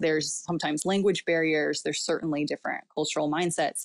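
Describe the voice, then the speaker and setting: A woman with a very deep, low voice talks at a fairly quick pace with ordinary pitch variation, in a very clean recording with a silent background and a dry, close sound with no echo. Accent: American. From Southern California. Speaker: missionary. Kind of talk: casual chat.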